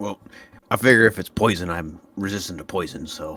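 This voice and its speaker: A man uses a put-on character voice that is raspy and fairly low-pitched. He talks at a fairly quick pace with big swings in loudness. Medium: actual play. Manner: blunt, casual.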